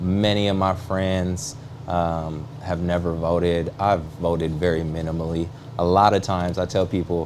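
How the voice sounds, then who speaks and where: Over noticeable background noise, a man with an American accent speaks at a very deep, low pitch with fairly even intonation. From US Pacific Northwest, Seattle area. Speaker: real estate agent and political candidate. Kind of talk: talk show interview.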